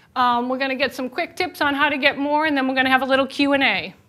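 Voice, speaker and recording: Talking at a very fast pace, a woman speaks in a high voice with a slight Boston accent. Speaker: chef and nutrition educator. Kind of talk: presentation. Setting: lunch and learn presentation with audience. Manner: casual, lively.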